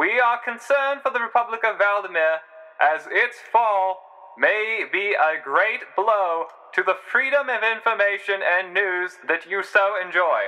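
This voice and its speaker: The pace is fairly slow, with ordinary pitch variation. Music plays in the background. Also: man, high pitch for a man. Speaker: amateur narrator / hobbyist writer of a fictional world. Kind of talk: news broadcast narration. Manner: formal, newsreader delivery.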